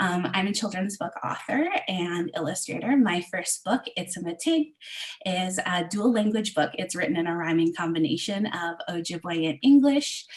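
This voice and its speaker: A woman with a Canadian accent speaks at a moderate pace amid noticeable background noise. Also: medium pitch for a woman, lively intonation. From Southwestern Ontario, Canada. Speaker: illustrator and children's book author. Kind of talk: online event presentation. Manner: halting, many fillers.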